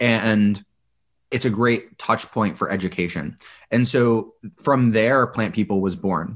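An ordinary speaking voice from a man, with ordinary pitch variation. He talks at a fairly slow pace. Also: medium pitch for a man, very clean recording, silent background. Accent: General American. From Colorado, US. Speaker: chef and entrepreneur. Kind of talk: casual interview.

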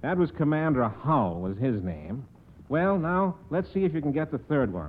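A man's fairly high voice swings very widely in pitch. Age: 50s. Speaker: guest quizmaster, sales promotion manager. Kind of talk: radio quiz show. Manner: jovial, laughing often.

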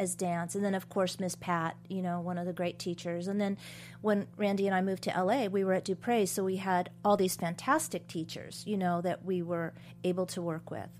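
On a very clean recording with a silent background, a woman with a medium-pitched voice speaks at a fairly quick pace. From US West Coast, small-town California. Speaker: choreographer. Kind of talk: interview. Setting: studio. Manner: animated.

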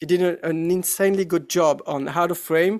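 With a French accent, a man speaks in fairly even intonation. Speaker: actor. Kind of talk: interview. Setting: video call.

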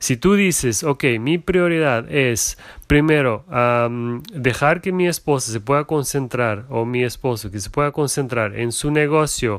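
Speaking at a fairly slow pace with hardly any pauses, a man with a Portuguese accent uses a medium pitch and ordinary pitch variation on a very clean recording with a silent background. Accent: non-native Spanish, Portuguese. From Germany, Portuguese parents. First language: German or Portuguese (speaking Spanish). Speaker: entrepreneur's husband, corporate employee. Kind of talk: casual interview. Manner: halting.

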